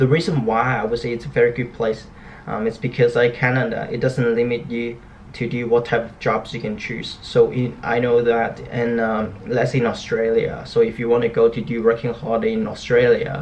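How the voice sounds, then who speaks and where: Against noticeable background noise, a man talks at a medium pitch with fairly even intonation. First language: not English. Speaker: graphic designer and startup founder vlogger. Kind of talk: casual vlog, personal story. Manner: fast; mumbling, skips syllables.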